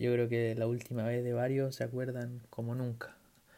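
The man's voice has a dark, mellow tone. His intonation is monotone and flat. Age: 20s. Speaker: podcast host. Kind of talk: solo sports podcast monologue. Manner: halting, with many repetitions.

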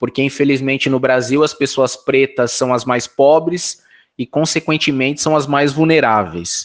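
A man with a fairly high pitch and an unremarkable speaking voice, talking at a fairly slow pace against a quiet background. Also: ordinary pitch variation. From Brazil, São Paulo (north zone). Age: 40s. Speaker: political candidate, activist. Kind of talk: interview.

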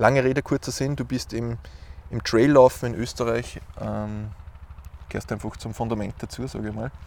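Moderate pace, medium pitch, and fairly even intonation from a man, with long, frequent pauses. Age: 30s. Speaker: podcast host. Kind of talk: interview. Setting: outdoors.

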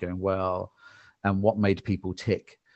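This man has a fairly low pitch and speaks with an English accent. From England. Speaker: marketing executive. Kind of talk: interview conversation. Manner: calm.

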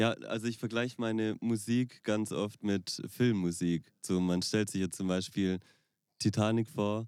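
Fairly even in intonation, a man speaks with a fairly low pitch and a dark, mellow tone. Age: 20s. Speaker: wedding pianist. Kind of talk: casual chat. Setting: in a VW bus.

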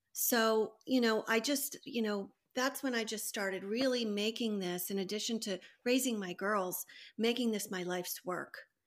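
In a very clean recording with a silent background, a woman talks in an unremarkable speaking voice, fairly high in pitch with ordinary pitch variation. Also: moderate pace. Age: 50s. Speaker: psychotherapist and heart patient. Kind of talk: casual interview.

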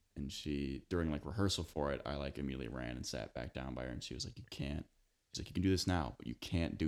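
This man has an American accent and a very deep, low pitch with vocal fry. He talks very fast, his pitch varying an ordinary amount. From US Midwest, northern Illinois. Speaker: actor, graduate acting student. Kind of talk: casual chat.

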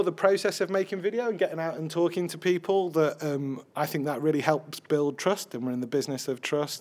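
At a fairly quick pace with hardly any pauses, a man speaks in a high voice with a Yorkshire accent and ordinary pitch variation. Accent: Sheffield Yorkshire English. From Sheffield, northern England. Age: 30s. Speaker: video journalism editor. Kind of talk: live podcast interview.

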